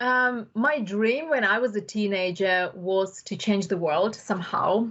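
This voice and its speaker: In a Russian accent, a woman speaks with a medium pitch and ordinary pitch variation. Her pace is fairly slow. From Uzbekistan (Bukhara). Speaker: tech entrepreneur. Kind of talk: podcast interview.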